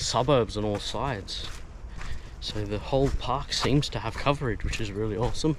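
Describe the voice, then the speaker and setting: A man speaks with an Australian accent. His pitch sits in the medium range, with ordinary pitch variation. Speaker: travel vlogger. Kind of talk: casual vlog narration. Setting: outdoors, bush walk. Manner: animated.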